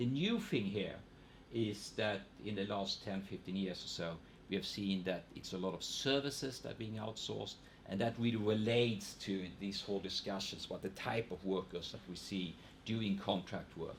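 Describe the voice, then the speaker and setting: With a slight Swedish accent, a man speaks at a moderate pace in a fairly low pitch and fairly even intonation. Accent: Swedish regional accent, slight in English. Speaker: economist. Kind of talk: panel seminar talk. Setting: seminar with audience. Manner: hesitant, many repetitions.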